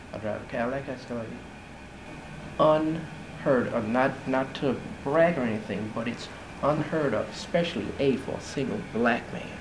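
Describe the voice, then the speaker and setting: With audible room echo and noticeable background noise, a man at medium pitch speaks with ordinary pitch variation and long, frequent pauses. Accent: American. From Baton Rouge, Louisiana. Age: 50s. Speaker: architect. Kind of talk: interview testimony. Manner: hesitant with fillers.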